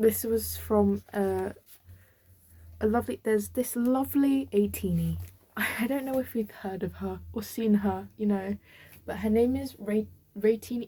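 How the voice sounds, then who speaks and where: With long, frequent pauses, a woman in a British accent speaks at a fairly slow pace. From UK. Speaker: vlogger. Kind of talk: casual chat. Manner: halting.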